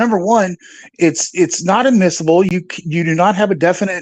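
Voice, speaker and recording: Dry and close with no echo, a man's high-pitched voice moves at a fairly quick pace. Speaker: live-stream commentator. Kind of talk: casual chat. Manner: animated.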